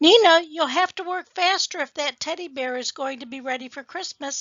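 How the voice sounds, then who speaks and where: Squeaky and extremely high-pitched, a woman's put-on character voice runs at a fairly quick pace. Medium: read story.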